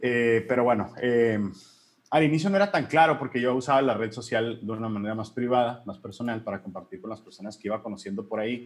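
Speaking at a very fast pace, a man with a medium pitch shows big swings in loudness and ordinary pitch variation. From Mexico, Hermosillo, Sonora. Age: 30s. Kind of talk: interview.

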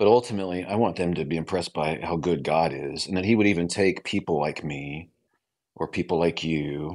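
A man with a Midwestern American accent talks at a fairly quick pace in a very deep, low voice. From US Midwest, small-town Illinois. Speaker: author and radio host. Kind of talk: radio interview.

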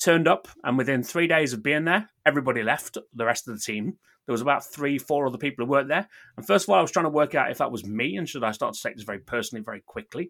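Very fast, lively speech from a man with big swings in loudness, on a very clean recording with a silent background. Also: fairly high pitch for a man. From Newark, England. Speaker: hospitality entrepreneur. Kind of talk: casual interview chat.

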